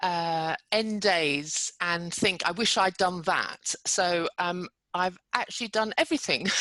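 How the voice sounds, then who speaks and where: Bright and sharp in tone, a woman talks at a fairly slow pace in a dry, close sound with no echo and a quiet background. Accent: British. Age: 60s. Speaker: entrepreneur. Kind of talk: podcast interview.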